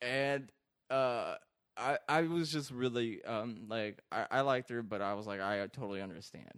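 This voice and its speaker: A plain, everyday voice, moderately paced, its pitch varying in an ordinary way. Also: man, medium pitch for a man. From Iraq, moved to California at twelve. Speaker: comedian. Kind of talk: casual chat.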